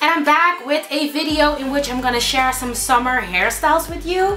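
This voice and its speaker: A woman speaks in a high voice, with faint music playing in the background. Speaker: beauty vlogger. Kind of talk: casual vlog chat. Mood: warm, a bit somber at first. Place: home room.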